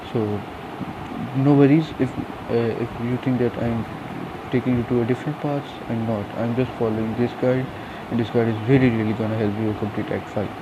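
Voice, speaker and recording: A man speaks in a flat, monotone way. There is noticeable background noise and some room echo. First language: not English. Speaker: gaming youtuber. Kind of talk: game tutorial. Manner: hesitant, many fillers.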